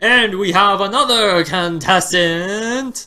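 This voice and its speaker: A man puts on a character voice, raised and projected, pitched high. He speaks at a very slow pace. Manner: announcing, showman-like.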